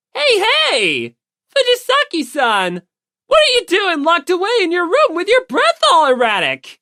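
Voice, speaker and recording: In a put-on character voice, a woman speaks at an extremely high pitch with very wide pitch swings and a moderate pace, on a very clean recording with a silent background. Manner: creepy, taunting.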